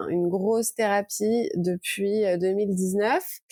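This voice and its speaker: At a very slow pace, a woman speaks at a medium pitch in a dark, mellow tone with fairly even intonation. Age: 30s. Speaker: author, recovered anorexia patient. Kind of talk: testimony. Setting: podcast. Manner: halting.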